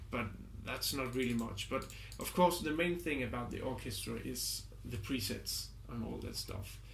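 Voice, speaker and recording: A man talks in a room with audible echo. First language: not English. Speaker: music composer and product reviewer. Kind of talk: product review. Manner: halting, with many fillers.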